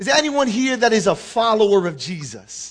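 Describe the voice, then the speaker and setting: The speaker talks with a New York accent and lively intonation. Noticeable background noise sits behind the voice. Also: man. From New York, the Bronx. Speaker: guest preacher. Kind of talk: sermon. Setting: church.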